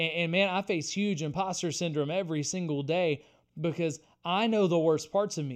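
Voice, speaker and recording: Against a quiet background, a man with an unremarkable speaking voice talks fairly quickly at a fairly high pitch, with ordinary pitch variation. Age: 30s. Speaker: podcast host and author. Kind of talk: casual interview conversation.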